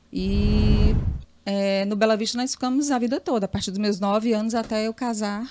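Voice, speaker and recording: A woman with a fairly high pitch keeps a moderate pace and fairly even intonation against noticeable background noise. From Piauí, Brazil (Teresina). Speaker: journalist. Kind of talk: interview.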